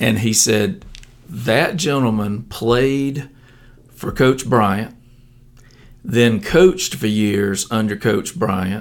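A man with an Alabama accent speaks at a medium pitch and a very slow pace, his lively intonation broken by long, frequent pauses. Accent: Southern US (Alabama). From US South, southeast Alabama. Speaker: stadium announcer. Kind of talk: interview.

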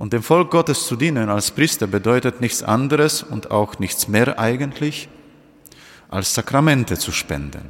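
Vocal fry and lively intonation at a fairly slow pace. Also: man. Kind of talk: homily at Holy Thursday Mass. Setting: church. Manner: earnest, direct address to congregation; measured, teacherly, explaining step by step.

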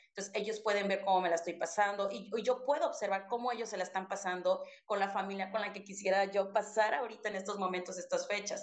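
Her intonation fairly even, a woman at medium pitch speaks at a very fast pace. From Mexico, Chiapas (Soconusco coast). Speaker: podcast co-host, teacher. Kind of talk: casual chat.

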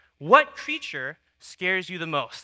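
A man speaks in a raised, projected voice. His tone is bright and sharp. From Texas. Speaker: young adults leader and church creative director. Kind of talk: sermon. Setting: church.

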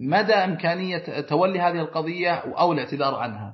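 A man speaks at a high pitch and a moderate pace. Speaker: lawyer. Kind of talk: interview. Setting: remote, over the air.

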